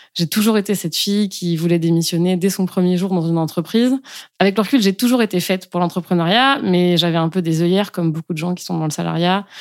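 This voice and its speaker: Talking at a very fast pace, a woman with a fairly low pitch and ordinary pitch variation comes through on a very clean recording with a silent background. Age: 30s. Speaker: breastfeeding pumping coach. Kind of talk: interview.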